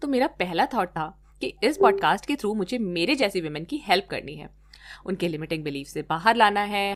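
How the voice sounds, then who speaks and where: A woman at a moderate pace and medium pitch, with very wide pitch swings and big swings in loudness. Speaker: podcast host. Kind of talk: podcast intro and chat. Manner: code-switching Hindi and English.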